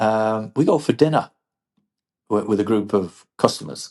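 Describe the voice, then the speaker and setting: Speaking fairly slowly in an English accent, a man uses a fairly low pitch with ordinary pitch variation. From England. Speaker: business leader, former engineer. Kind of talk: podcast interview. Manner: repeats words, some false starts.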